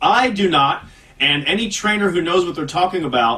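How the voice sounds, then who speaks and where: A man speaks over noticeable background noise. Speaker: radio host. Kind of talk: casual chat. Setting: studio. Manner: fast.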